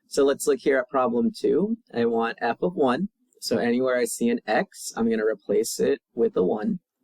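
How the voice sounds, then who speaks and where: Recorded with a dry, close sound and no echo, a man talks at a moderate pace with very even loudness. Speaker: math teacher. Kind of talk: video lesson.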